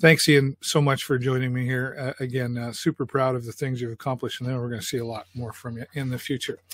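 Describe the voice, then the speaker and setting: A man's somewhat breathy, mid-pitched voice at a fairly quick pace, dry and close with no echo, on a very clean recording with a silent background. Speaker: community talk show host. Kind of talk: casual interview chat. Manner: animated.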